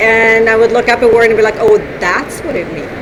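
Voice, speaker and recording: This woman talks at a fairly quick clip in a fairly high pitch. Noticeable background noise and audible room echo surround her voice. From northern Sweden. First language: Swedish. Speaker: author. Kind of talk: interview. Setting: conference floor, noisy.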